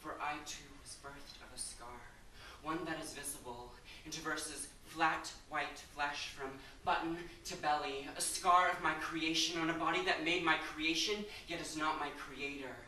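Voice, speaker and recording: Moderately paced speech over noticeable background noise. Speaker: slam poet. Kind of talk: slam poetry performance.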